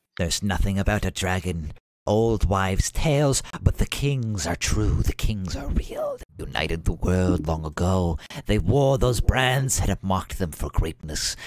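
A man puts on a character voice. His pitch is very deep and low. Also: moderate pace. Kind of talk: grand prophetic speech. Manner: frenzied, ecstatic, cackling.

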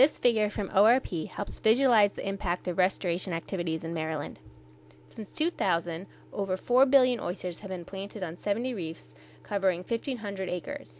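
An ordinary speaking voice from a woman, pitched in her medium range, its pitch variation ordinary, its pace moderate. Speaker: narrator. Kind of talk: scripted documentary narration. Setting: studio voiceover. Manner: clear, measured, formal.

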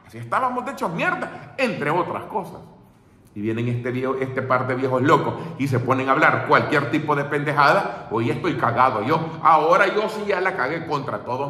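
There is audible room echo as a man speaks in an animated tone with lively intonation. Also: moderate pace. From El Salvador. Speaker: political commentator; political commentator streamer. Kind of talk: casual monologue. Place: home room. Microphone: phone near.

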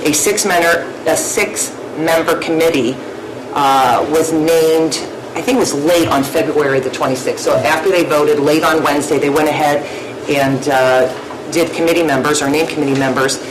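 A woman with a very deep, low pitch speaks at a moderate pace in very even loudness and fairly even intonation, with noticeable background noise behind her. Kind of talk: meeting report. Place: meeting room. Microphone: podium.

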